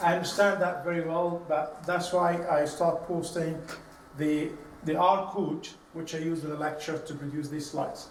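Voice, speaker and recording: A man with a high voice speaks at a moderate pace, with audible room echo and noticeable background noise. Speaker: university lecturer. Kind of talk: lecture. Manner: halting.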